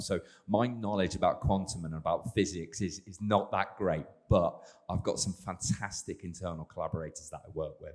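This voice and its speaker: With an English accent, a man talks at a fairly quick pace in a fairly low pitch with ordinary pitch variation. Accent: English, self-described as dodgy. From England. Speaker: sports scientist, exercise physiologist. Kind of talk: panel discussion.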